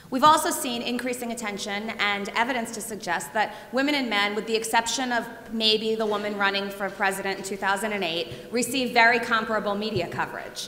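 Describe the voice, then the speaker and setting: Noticeable background noise and audible room echo surround a woman speaking at a fairly quick pace with hardly any pauses. Her pitch is fairly high, with ordinary variation. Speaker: professor. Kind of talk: lecture. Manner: loud.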